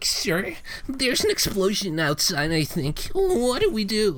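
A put-on character voice, fairly high in pitch and nervous in tone, moves at a moderate pace. Background noise is clear. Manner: nervous, deferential.

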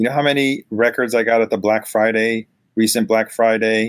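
A man with a normal speaking voice talks at a moderate pace and medium pitch, with fairly even intonation. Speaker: vinyl collector guest.

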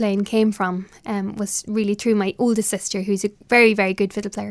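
A woman with an Irish accent speaks at a moderate pace and fairly high pitch. The recording is very clean, with a silent background. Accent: Irish (Louth). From Ireland, Dundalk, County Louth. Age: young. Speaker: traditional fiddle player. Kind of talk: interview. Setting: small office in a hotel.

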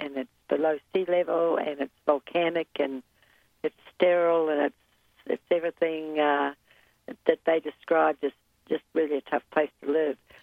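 A woman with a New Zealand accent speaks at a moderate pace. Her pitch is very deep and low, and her intonation fairly even. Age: 70s. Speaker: polar explorer and mountaineer. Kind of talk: interview.

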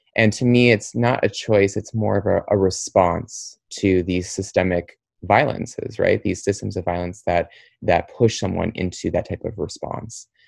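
A man speaks at a moderate pace in a fairly low pitch with fairly even intonation. It is an unremarkable speaking voice against a quiet background. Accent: American. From US Midwest, Troy, Michigan (Detroit suburb). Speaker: nonprofit executive director and LGBTQ trainer. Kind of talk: interview.

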